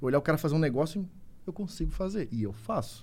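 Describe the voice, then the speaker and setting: Here is a man with an unremarkable speaking voice and a fairly high pitch. He moves at a fairly quick pace. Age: 40s. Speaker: survival instructor, YouTuber. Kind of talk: casual chat.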